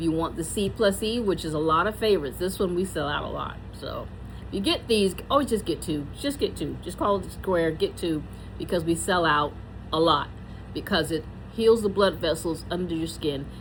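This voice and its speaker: In an American accent, a woman speaks at a moderate pace with a somewhat breathy, fairly low voice and ordinary pitch variation. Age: 60s. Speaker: beauty consultant and vlogger. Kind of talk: product tutorial. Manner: casual, chatty.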